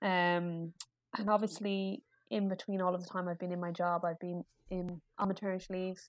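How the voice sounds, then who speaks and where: A woman speaks with an Irish accent at a moderate pace. Her intonation is monotone and flat, and the sound is dry and close with no echo. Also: medium pitch for a woman. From Ireland. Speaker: pediatric speech and language therapist. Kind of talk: casual interview chat. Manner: chatty.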